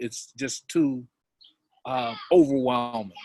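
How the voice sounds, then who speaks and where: A man talks at a very slow pace. The sound is dry and close, with no echo. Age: 60s. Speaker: co-host of a talk show on love. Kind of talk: live online talk show. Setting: live video call.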